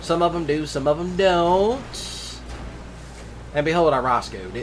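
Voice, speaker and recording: A man talks at a fairly slow pace in a room with audible echo and noticeable background noise. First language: Cajun French. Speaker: gaming YouTuber. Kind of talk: gameplay commentary. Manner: casual, rambling with fillers.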